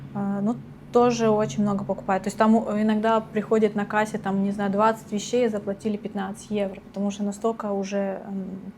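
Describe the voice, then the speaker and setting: A woman's fairly quick, monotone, flat delivery over noticeable background noise. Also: medium pitch for a woman. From Russia. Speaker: retail worker. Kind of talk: interview.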